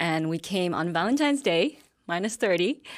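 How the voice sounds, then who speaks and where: With a Vietnamese accent, a woman speaks at medium pitch and a moderate pace with lively intonation. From Vietnam, moved to Calgary as a girl. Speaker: business owner. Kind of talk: interview. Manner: hesitant, with fillers.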